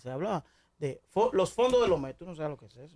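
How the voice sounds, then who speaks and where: A man's voice comes across with a dark, mellow tone. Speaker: talk radio host. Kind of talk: radio talk show interview. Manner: deliberately measured, not shouting.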